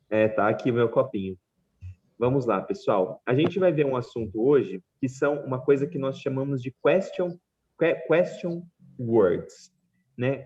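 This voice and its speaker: This man talks at a fairly slow pace in a fairly high, somewhat breathy voice with lively intonation. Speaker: English teacher. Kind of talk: online class lecture.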